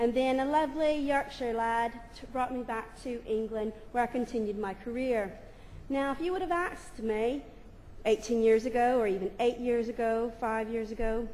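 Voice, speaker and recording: A woman's fairly high-pitched voice comes through with audible room echo. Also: ordinary pitch variation, moderate pace. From United States. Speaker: primary head teacher. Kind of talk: conference presentation.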